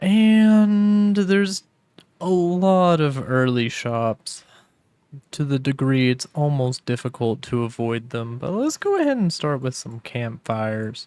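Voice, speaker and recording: On a very clean recording with a silent background, a man with a relaxed tone and fairly high pitch speaks very slowly, his pitch swinging very widely. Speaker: gaming YouTuber. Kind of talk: gameplay commentary. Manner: casual, relaxed.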